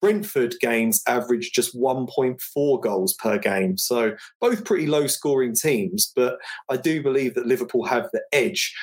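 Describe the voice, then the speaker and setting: A man in a London accent, medium in pitch, with lively intonation. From England, North London. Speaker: football betting analyst. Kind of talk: sports betting analysis.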